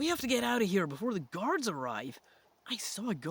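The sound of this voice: Here is an unforced reading voice. It is an unforced reading voice from start to finish.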